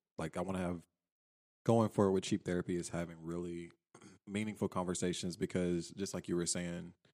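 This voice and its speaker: A man with a very deep, low pitch and a dark, mellow tone speaks at a very fast pace in a monotone, flat intonation, in a very clean recording with a silent background. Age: 20s. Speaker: podcast guest, podcaster. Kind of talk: casual chat.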